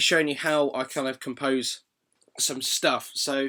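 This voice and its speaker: With a British accent and a bright, sharp tone, a man speaks at a fairly slow pace. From Britain. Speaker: composer. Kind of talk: tutorial. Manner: muffled, slurry; casual, hesitant.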